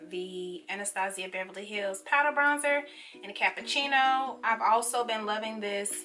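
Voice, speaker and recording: A woman at a moderate pace with ordinary pitch variation, amid noticeable background noise. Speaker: beauty vlogger. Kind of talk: casual makeup tutorial chat. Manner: hesitant, many fillers.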